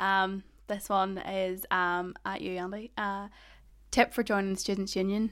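A woman with a slight Northern Irish accent, medium-pitched and monotone, at a fairly slow pace with long, frequent pauses. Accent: Northern Irish, Ballymena, slight. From Northern Ireland. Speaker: student union podcast host. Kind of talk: casual chat. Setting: recording from home bedroom, remote.

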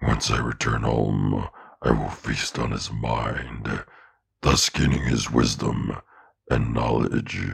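A man puts on a raspy character voice at a very deep, low pitch. He speaks at a fairly slow pace with monotone, flat intonation. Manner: solemn, ritual formal speech.

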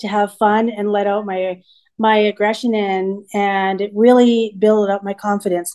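A woman speaks at a fairly slow pace with a fairly high pitch and a dark, mellow tone over a quiet background. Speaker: podcaster sharing personal story. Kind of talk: personal testimony monologue. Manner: hesitant, with false starts.

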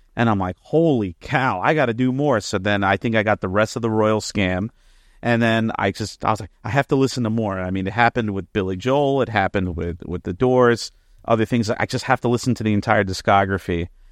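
In an American accent, a man with a plain, everyday voice talks at a fairly quick pace and fairly low pitch with ordinary pitch variation, the sound dry and close with no echo over a quiet background. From New Jersey. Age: 30s. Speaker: music teacher and vocalist. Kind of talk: casual chat.

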